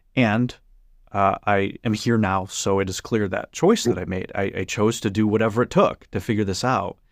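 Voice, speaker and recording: A man with a normal speaking voice, fairly low in pitch, at a moderate pace with fairly even intonation, in a very clean, dry, close recording with a silent background and no echo. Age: 30s. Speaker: author and spiritual teacher. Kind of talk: interview conversation.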